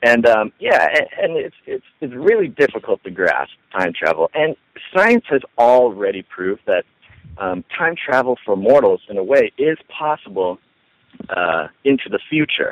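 The background is quiet and the sound is dry with no echo. A man speaks at a fairly slow pace. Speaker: online radio ministry co-founder. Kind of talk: casual interview. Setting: phone call. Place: home room. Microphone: headset.

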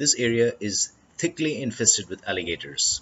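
Pitch varies in an ordinary way, with light background noise behind the voice. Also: man. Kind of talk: travel commentary.

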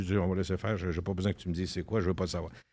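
A man speaks against a quiet background. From Quebec. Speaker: radio personality. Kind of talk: casual chat. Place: studio.

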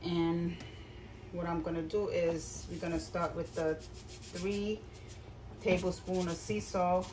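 Over noticeable background noise, a woman with a fairly low voice speaks fairly slowly with fairly even intonation. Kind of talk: tutorial. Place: kitchen. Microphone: phone near.

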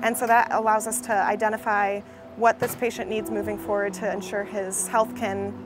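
Noticeable background noise runs beneath a woman's voice, which sounds dry with no echo. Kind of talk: interview answer. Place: street.

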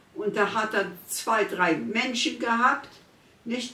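The pitch varies in an ordinary way. Room echo is audible. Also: woman. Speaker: care patient, war eyewitness. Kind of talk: interview answer. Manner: hesitant. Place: kitchen.

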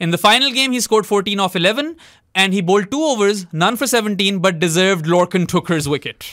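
A man with a high, bright and sharp voice and lively intonation, recorded very cleanly against a silent background. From Pakistan. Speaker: cricket podcast co-host. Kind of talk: casual sports discussion. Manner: animated.

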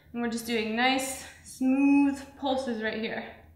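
Audible room echo surrounds a woman with a high pitch and fairly even intonation. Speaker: fitness trainer. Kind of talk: workout instruction. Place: studio.

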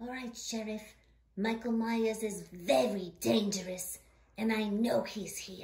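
With a fairly high pitch for a woman, a female-sounding cartoonish character voice speaks at a fairly slow pace. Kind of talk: puppet horror parody.

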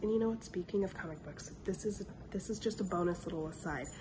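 A woman at a fairly quick clip, ordinary pitch variation, over noticeable background noise. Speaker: book vlogger. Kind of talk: casual talk to camera.

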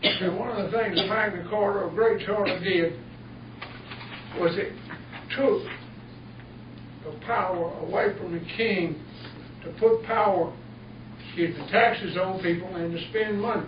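Fairly slow speech broken by long, frequent pauses, with noticeable background noise. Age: 70s. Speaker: retired teacher speaking at public comment. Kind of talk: public comment at town board meeting. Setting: town board meeting room.

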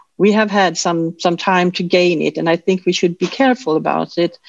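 The voice has a Swedish accent. The sound is dry with no echo, and the background is quiet. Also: woman. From Sweden. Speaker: information security officer. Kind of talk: panel discussion. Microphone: video call.

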